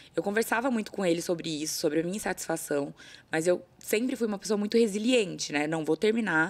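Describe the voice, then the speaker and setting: With lively intonation, a woman rattles along at a very fast pace. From São Paulo state, Brazil (São José do Rio Preto); São Paulo, Brazil. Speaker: talent agency owner, former lawyer; former lawyer. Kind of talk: casual interview chat. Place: studio. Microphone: studio mic.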